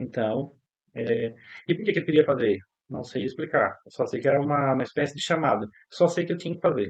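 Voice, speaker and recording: A man's fairly high, fairly quick, plain, everyday voice. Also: lively intonation. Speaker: psychologist teaching a course. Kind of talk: online lecture. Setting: online class.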